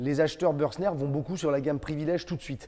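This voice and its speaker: The voice has a dark, mellow tone and ordinary pitch variation at a fairly quick pace. The recording is very clean, with a silent background. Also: man. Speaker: camper van reviewer. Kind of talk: product presentation. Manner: conversational, some hesitations.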